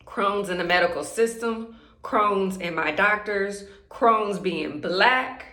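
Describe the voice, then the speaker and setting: A woman speaks at a very slow pace in a medium pitch with ordinary pitch variation, against noticeable background noise and audible room echo. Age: 30s. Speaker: vlogger sharing chronic illness story. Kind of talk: personal testimony vlog. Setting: bathroom at home. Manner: excited, slightly halting.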